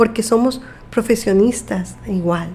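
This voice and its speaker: A woman's fairly high voice, fairly even in intonation, at a very slow pace. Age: 50s. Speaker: nurse. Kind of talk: interview.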